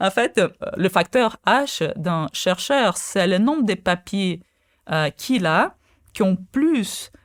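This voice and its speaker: A woman with a Portuguese accent speaks at a very slow pace with a medium pitch, very wide pitch swings and very even loudness. The recording is very clean, with a silent background. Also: dry, close sound with no echo. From Brazil. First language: Portuguese (speaking French). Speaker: quantum physicist. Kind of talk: interview. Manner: halting, many fillers.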